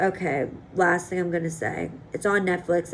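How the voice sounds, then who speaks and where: Noticeable background noise sits behind a woman whose voice has a fairly low pitch. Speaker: vlogger. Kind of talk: casual vlog monologue. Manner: fast.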